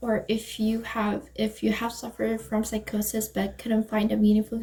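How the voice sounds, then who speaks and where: Noticeable noise sits in the background. Over it, a woman talks at a moderate speed. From Canada. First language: not English (native language other than English). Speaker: panelist, former executive board member of a peer community. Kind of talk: panel discussion. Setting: video call. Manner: halting, many fillers.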